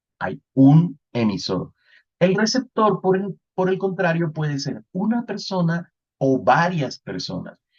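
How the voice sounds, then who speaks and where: A man speaks with a Colombian Caribbean accent. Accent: Colombian Caribbean coastal Spanish. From Colombian Caribbean coast, Santa Marta. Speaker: networking instructor. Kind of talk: lecture.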